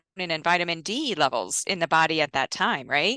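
A woman with a bright, sharp tone at a moderate pace, a dry sound with no echo and a quiet background. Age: 50s. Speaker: nutrition scientist; guest. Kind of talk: interview. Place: home room. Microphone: headset.

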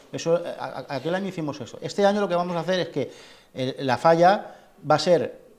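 This man's voice sits high in pitch as he talks at a fairly quick pace. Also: ordinary pitch variation. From Spain. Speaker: festival club president and artist; interviewee. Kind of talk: interview. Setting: falla clubhouse. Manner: halting. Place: hall. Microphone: lapel.

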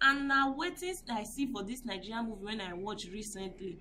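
With lively intonation, a woman speaks over light background noise. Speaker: vlogger. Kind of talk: casual vlog commentary. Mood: indignant, moralizing. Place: street. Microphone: phone near.

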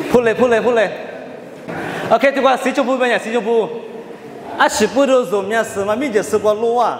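A man speaks with an extremely high pitch. Room echo is audible, along with light background noise. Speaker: Bible teacher. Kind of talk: Bible study teaching. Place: hall. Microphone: handheld.

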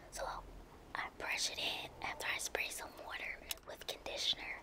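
A woman whispering at a moderate pace, with long, frequent pauses. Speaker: lifestyle vlogger. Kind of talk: ASMR bedtime routine talk. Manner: whispery, soft-spoken.

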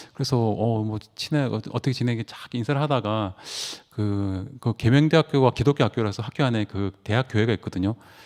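Over a very clean recording with a silent background, a man talks at a fairly quick pace with a medium pitch. His pitch variation is ordinary, and the sound is dry and close with no echo. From Gangwon Province, South Korea (Taebaek). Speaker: church member giving testimony. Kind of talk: testimony. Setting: church meeting. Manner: halting, many fillers.

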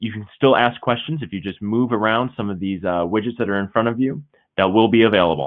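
This is a normal speaking voice from a man. He talks at a fairly quick pace with lively intonation. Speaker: webcast moderator. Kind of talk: webcast introduction and housekeeping. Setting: online webcast. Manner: upbeat.

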